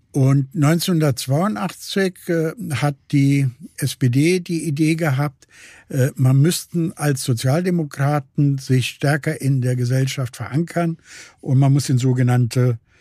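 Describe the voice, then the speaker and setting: At a very slow pace, a somewhat breathy voice with a dark, mellow tone holds very even loudness on a very clean recording with a silent background. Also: man, fairly high pitch for a man, ordinary pitch variation. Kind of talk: interview. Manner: halting.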